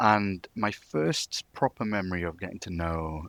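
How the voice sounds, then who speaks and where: In a Manchester accent, a man with a very deep, low voice speaks at a fairly slow pace and fairly even intonation, on a very clean recording with a silent background and a dry, close sound with no echo. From northern England, Manchester. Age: 20s. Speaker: wrestling fan community member. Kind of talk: casual chat.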